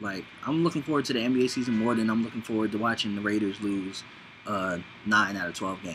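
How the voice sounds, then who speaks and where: A man talks at a very fast pace in a fairly low pitch with ordinary pitch variation. Music plays in the background. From Los Angeles. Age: 30s. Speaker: vlogger. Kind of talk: casual monologue. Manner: rambling, casual.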